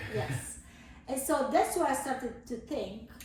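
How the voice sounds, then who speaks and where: In an Italian accent, a woman with a high pitch speaks at a moderate pace with lively intonation, and audible room echo surrounds her voice. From southern Italy. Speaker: cheese supplier, business owner. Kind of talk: casual interview.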